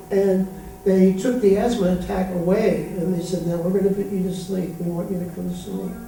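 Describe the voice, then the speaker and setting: Fairly fast speech comes through clear background noise. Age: 60s. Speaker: spiritual teacher. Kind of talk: spiritual talk to an audience.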